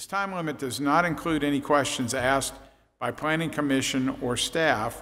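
Moderate pacing and ordinary pitch variation from a male speaker. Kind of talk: procedural reading at public meeting. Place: hall. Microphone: podium.

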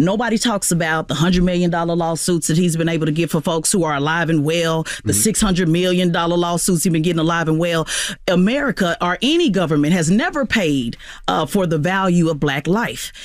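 The man's high voice comes at a fairly quick pace with very even loudness and ordinary pitch variation. The sound is dry with no echo. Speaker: activist. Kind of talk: interview. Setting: studio. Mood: passionate, persuasive. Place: studio.

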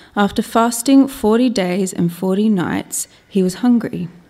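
Speaking at a fairly slow pace, a woman with an Australian accent has a dark, mellow tone. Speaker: lay Bible reader. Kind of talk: reading aloud. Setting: church. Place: church. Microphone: podium.

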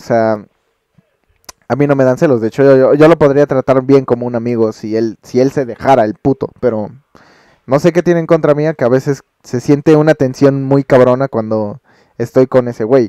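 Speaking at a moderate pace in a Mexican accent, a man with a dark, mellow tone keeps his intonation fairly even, recorded with a dry, close sound and no echo. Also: medium pitch for a man. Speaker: streamer. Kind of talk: casual vlog.

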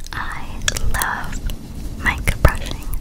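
A woman is whispering. Her pace is very slow. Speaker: ASMR creator. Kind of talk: soft-spoken ASMR chat. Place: home room. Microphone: studio mic.

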